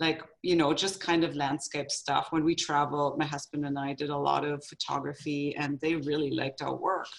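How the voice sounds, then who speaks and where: With a German accent, a woman speaks at a moderate pace with hardly any pauses, her very deep, low pitch held in a monotone, flat intonation. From Germany. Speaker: photographer, business owner. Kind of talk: interview. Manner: halting.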